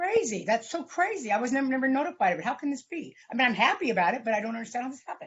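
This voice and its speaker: Talking at a very fast pace, a woman with a high pitch swings her voice very widely up and down. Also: hardly any pauses. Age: 60s. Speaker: defendant. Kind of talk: court hearing. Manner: halting.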